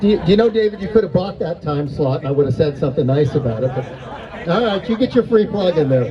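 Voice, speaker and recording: Over crowd noise, a man talks loudly at a very fast pace and high pitch, with very wide pitch swings and hardly any pauses. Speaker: event emcee. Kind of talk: live event emcee speech.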